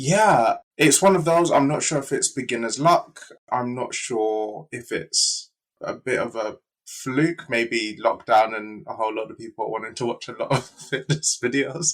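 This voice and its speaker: In a British accent, a man talks at a fairly high pitch with ordinary pitch variation. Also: fairly slow pace. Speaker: fitness YouTuber. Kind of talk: casual chat.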